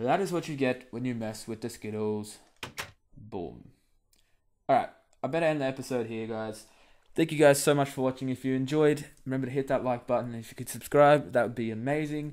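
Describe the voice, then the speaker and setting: Ordinary pitch variation comes through as the words go by at a fairly quick pace. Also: man, medium pitch for a man. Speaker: gaming video creator. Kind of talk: let's play commentary. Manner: quiet, subdued.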